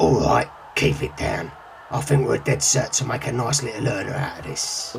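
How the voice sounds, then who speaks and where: A man puts on a raspy character voice at a medium pitch, with very wide pitch swings. He moves at a moderate pace over clear background noise. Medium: audio drama. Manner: gruff, foul-mouthed.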